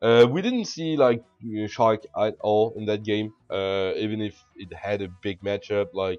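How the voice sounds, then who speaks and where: A man with a French accent and a fairly low pitch, fairly even intonation, big swings in loudness and hardly any pauses. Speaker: video game commentator. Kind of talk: gameplay commentary. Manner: halting.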